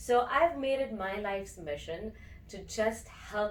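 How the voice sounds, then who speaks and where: A woman talks at a medium pitch with lively intonation. Noticeable background noise and audible room echo are present. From India. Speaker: breathwork and meditation teacher. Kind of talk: interview.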